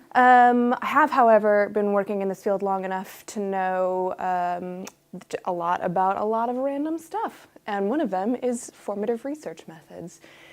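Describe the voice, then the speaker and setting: A woman's plain, everyday voice with an American accent, medium pitch, lively intonation and a moderate pace. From United States. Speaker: UX researcher. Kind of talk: workshop talk. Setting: room with live audience. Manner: casual.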